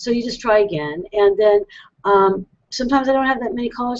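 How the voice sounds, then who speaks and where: A woman speaks at a fairly quick pace. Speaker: tarot reader and web show host. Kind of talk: live call-in show monologue. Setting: live video hangout broadcast. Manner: fast; animated.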